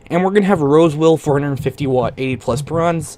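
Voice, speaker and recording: An enthusiastic man over noticeable background noise. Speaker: gaming tech YouTuber. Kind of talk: video tutorial on a PC build. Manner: casual, enthusiastic.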